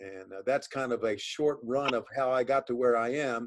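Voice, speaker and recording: A man's normal speaking voice at medium pitch, with ordinary pitch variation. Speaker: professional wrestling commentator and sports broadcaster. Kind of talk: interview answer, casual conversational talk.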